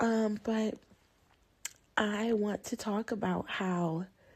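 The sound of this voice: A woman's voice carries vocal fry, a slightly mellow tone and a slightly husky edge.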